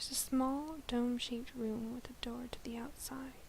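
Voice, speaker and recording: A woman whispers, soft-spoken. Background noise is noticeable. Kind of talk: bedtime novel reading. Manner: soft-spoken, whispered.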